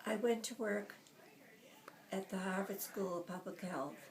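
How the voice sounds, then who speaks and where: With an American accent, a woman speaks at a medium pitch and a fairly slow pace, using fairly even intonation over noticeable background noise. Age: 80s+. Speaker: retired computer pioneer. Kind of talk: interview answer.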